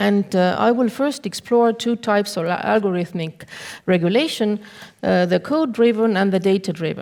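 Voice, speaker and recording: On a very clean recording with a silent background, a woman with a non-native accent speaks at medium pitch and a moderate pace, her pitch varying in an ordinary way. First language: not English. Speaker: law professor. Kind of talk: conference talk. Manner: halting; reading from notes.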